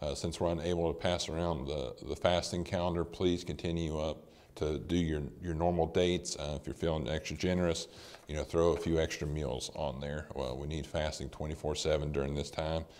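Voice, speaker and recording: In a very deep, low voice with vocal fry, a man talks at a moderate pace with monotone, flat intonation. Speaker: church announcer. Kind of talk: announcements. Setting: online service recorded at a house. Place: church.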